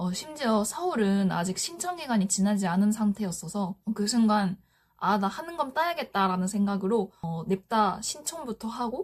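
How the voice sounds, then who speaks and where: A woman talks at a fairly slow pace with a medium pitch. Her intonation is lively. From Japan. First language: Japanese (speaking Korean). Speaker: office worker sharing study tips. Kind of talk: vlog-style explanation. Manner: hesitant with frequent fillers.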